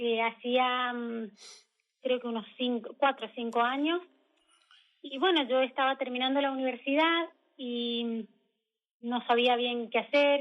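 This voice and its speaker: High-pitched woman in a Mendoza accent, fairly slow with long, frequent pauses and fairly even intonation. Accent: Mendoza Argentine Spanish. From Argentina, Mendoza. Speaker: emigrant architect interviewee. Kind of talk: radio interview.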